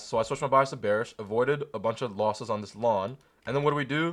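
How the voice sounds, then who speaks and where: Against a quiet background, a man talks very fast in an animated tone, at a medium pitch with ordinary pitch variation. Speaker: day trader sharing trade recaps. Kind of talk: screen-share trading tutorial. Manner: casual, animated.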